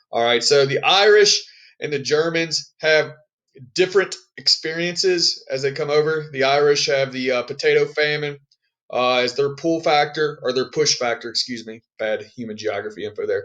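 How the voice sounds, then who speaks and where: A man's fairly high voice, an ordinary speaking voice, at a moderate pace with ordinary pitch variation. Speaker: high school history teacher. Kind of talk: recorded lesson for students. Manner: casual, many fillers.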